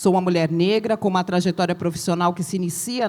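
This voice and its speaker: A woman with a fairly low pitch uses fairly even intonation in an ordinary speaking voice. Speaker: professor. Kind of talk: reading aloud.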